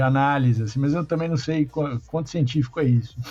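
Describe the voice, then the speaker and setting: A man's fairly high, somewhat breathy voice carries a dark, mellow tone and ordinary pitch variation. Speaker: podcast host. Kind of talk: casual chat.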